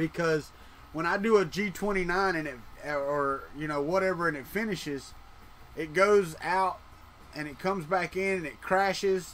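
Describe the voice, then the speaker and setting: A man talks at a moderate pace with a Southern US accent. His pitch is high, with ordinary variation. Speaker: 3D printing live streamer. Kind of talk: casual live stream chat. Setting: live stream. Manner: casual, conversational.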